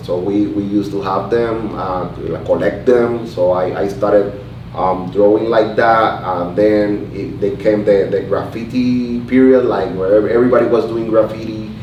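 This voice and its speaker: In a room with audible echo and noticeable background noise, a man with a fairly low pitch talks at a moderate pace with fairly even intonation. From Puerto Rico. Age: 30s. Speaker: artist and barber. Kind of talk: oral history interview. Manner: halting, many fillers and repetitions.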